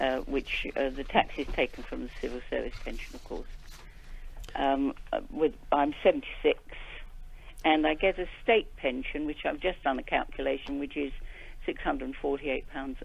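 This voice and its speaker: A woman with a British accent at a moderate pace. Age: 70s. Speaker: caller, retired widow. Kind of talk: phone-in call. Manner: halting.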